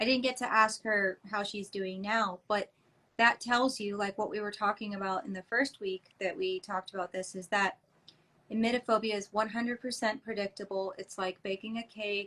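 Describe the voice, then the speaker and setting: A woman's bright, sharp voice at a medium pitch, with an American accent and fairly even intonation. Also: moderate pace. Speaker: anxiety coach. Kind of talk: live workshop discussion.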